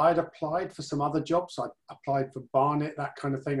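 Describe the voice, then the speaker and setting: A man speaks at a fairly quick pace in a somewhat breathy voice. His intonation is monotone and flat, over a quiet background. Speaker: interview guest. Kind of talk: interview answer. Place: home room. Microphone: video call.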